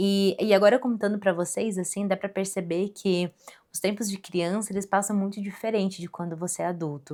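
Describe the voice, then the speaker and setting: On a very clean recording with a silent background, a woman talks at a fairly quick pace in a dark, mellow tone, at medium pitch with fairly even intonation. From Rio Grande do Sul, then Santa Catarina (southern Brazil). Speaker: podcaster. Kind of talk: personal storytelling monologue. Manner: casual, conversational.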